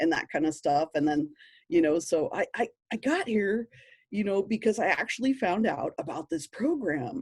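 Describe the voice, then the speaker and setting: A woman with an American accent has a dark, mellow, somewhat breathy tone at a medium pitch, with very wide pitch swings. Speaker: park educator. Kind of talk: webinar presentation. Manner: animated.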